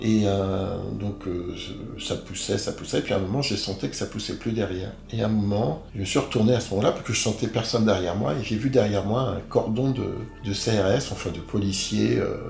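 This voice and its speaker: Here a man with a fairly low voice talks at a moderate pace. His pitch varies in an ordinary way, and the room echo is audible. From Paris, France. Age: 60s. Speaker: interviewee, wrongly arrested man. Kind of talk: interview testimony. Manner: halting, many hesitations.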